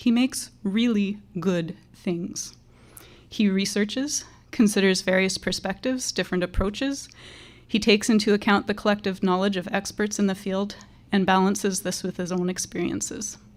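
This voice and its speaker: Soft-spoken and at a moderate pace, a woman talks at a medium pitch with fairly even intonation. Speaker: teacher. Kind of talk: graduation speech.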